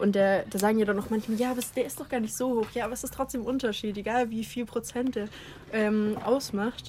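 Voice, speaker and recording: A fairly high-pitched woman's voice at a fairly quick pace, with monotone, flat intonation. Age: 20s. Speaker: podcast co-host. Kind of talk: casual chat. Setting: outdoors on a garden terrace.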